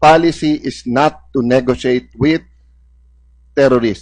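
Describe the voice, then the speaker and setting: Speaking with ordinary pitch variation, a man uses a fairly high voice. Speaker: senator questioning officials. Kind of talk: heated debate.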